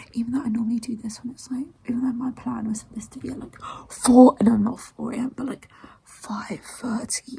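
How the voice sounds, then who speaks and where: There is noticeable background noise. A woman speaks at a fairly high pitch with monotone, flat intonation. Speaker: writing vlogger / aspiring novelist. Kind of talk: casual vlog chat. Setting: at home early morning. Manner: whispering; rambling, fast.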